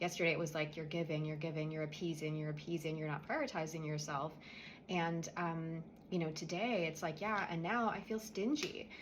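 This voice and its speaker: A quiet, somewhat breathy woman's voice, fairly low-pitched, with ordinary pitch variation, a fairly quick pace and audible room echo. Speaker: energy healer. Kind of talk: guided spiritual clearing tutorial. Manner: quiet, subdued; casual, conversational.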